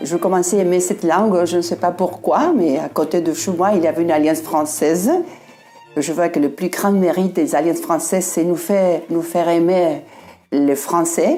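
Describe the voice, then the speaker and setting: Over music in the background, a woman with a fairly low pitch speaks at a moderate pace, her intonation fairly even and her loudness very even. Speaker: French speaker, local resident. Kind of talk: testimony. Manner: halting.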